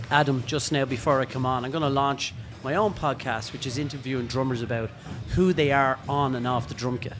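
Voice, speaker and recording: Over music in the background, a man with an Irish accent talks at a fairly quick pace, his medium pitch held in fairly even intonation. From Ireland. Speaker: drummer and drum teacher. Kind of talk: casual interview. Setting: podcast recorded at a drum show.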